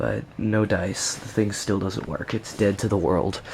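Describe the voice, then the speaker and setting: A man speaks quietly at a fairly slow pace. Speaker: tech hobbyist vlogger. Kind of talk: casual vlog. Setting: at home at night. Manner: speaking low, quiet; hesitant, many fillers.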